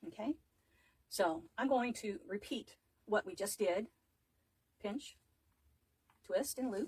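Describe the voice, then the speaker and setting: Speaking at a very slow pace with long, frequent pauses, a woman uses lively intonation in a fairly high, somewhat breathy voice. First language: not English. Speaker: wreath maker, craft tutor. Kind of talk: live craft tutorial. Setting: livestream, home craft table.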